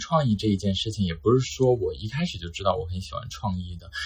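Somewhat breathy and fairly low in pitch, a man speaks at a very fast pace with ordinary pitch variation. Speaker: new journalism graduate job seeker. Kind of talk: casual chat.

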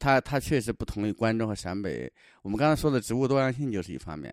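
Here a man speaks with lively intonation at a fairly quick pace. The recording is very clean, with a silent background. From southern Shaanxi, China. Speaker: travel companion, local guide. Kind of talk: casual travel-diary chat. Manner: halting, repetitive fillers.

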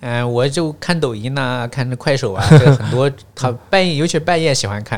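In a plain, everyday voice, the speaker moves at a moderate pace with ordinary pitch variation on a very clean recording with a silent background. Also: man, medium pitch for a man. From northwest China, Gansu, Baiyin, Jingtai county. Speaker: podcast guest, teacher. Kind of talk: casual interview chat.

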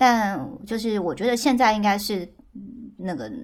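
A woman talks at a moderate pace and a medium pitch. The rise and fall of her voice is ordinary. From central Taiwan. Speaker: podcast guest. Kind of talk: casual chat. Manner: lively.

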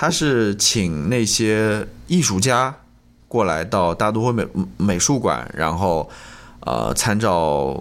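Speaking at a very slow pace, a man uses a fairly low pitch with vocal fry and very wide pitch swings. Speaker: podcast co-host. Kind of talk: casual chat.

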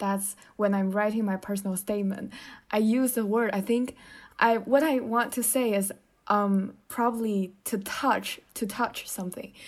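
With a Chinese accent, a woman speaks at a fairly high pitch and moderate pace with fairly even intonation, in a very clean recording with a silent background. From China. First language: Mandarin Chinese. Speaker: podcast co-host, student. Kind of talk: casual chat.

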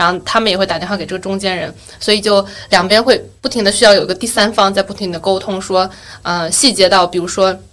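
A woman's medium-pitched voice at a very fast pace, intonation fairly even. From Yueqing, Wenzhou, Zhejiang, China. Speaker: podcast host. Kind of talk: casual chat.

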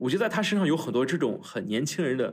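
The voice has vocal fry. Its pitch swings very widely. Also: man, very clean recording, silent background. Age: 20s. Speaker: student and former political staffer. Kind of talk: casual chat. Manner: frequent fillers and hesitations.

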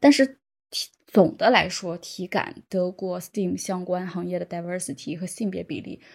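In a very clean recording with a silent background, a woman talks fairly slowly in an ordinary speaking voice at a medium pitch, with lively intonation and big swings in loudness. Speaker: software developer. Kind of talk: podcast interview.

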